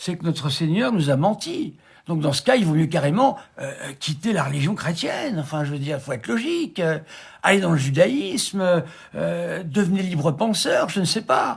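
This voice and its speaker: Moderate pace and lively intonation. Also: man, high pitch for a man. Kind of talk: live stream commentary. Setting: live stream. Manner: hesitant, many fillers.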